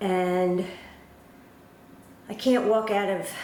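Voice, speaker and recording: The speaker has an American accent and fairly even intonation, with noticeable background noise and audible room echo. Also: woman. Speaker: cross stitch video blogger. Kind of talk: casual chat. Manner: casual, hesitant with fillers.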